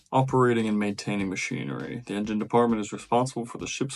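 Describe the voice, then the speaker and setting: A man talks at a very fast pace. His voice sits at medium pitch with ordinary variation. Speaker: merchant mariner, deck department. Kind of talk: reading aloud a list; casual vlog talk.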